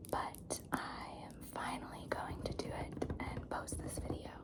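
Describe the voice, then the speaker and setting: A whisper at a very slow pace, with noticeable background noise. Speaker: ASMR creator. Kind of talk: ASMR haul video. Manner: whispered or soft-spoken.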